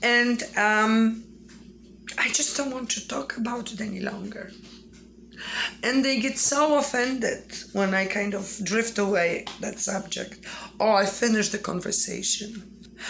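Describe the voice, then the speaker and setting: Over noticeable background noise, a woman talks at a fairly slow pace with a Polish accent. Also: fairly high pitch for a woman, ordinary pitch variation. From Poland. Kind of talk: casual talk to camera.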